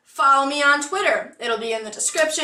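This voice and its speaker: A woman's raised, projected voice, high-pitched, with lively intonation. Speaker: YouTuber. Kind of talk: casual vlog monologue. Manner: casual, with fillers.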